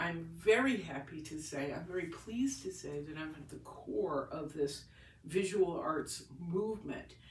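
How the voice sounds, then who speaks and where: A woman speaks at a fairly slow pace in a very deep, low voice with lively intonation, big swings in loudness, audible room echo and noticeable background noise. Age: 60s. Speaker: painter. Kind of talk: casual vlog monologue. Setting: home, recording on iPad. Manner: halting, many restarts.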